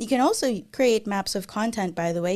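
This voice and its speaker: A woman with a Filipino accent speaks with ordinary pitch variation on a very clean recording with a silent background. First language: Tagalog. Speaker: software developer advocate and YouTuber. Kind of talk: conference Q&A.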